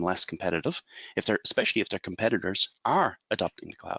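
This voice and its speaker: A man with an Irish accent is heard in a dry, close sound with no echo. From Ireland. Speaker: IT consultant. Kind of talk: webinar presentation.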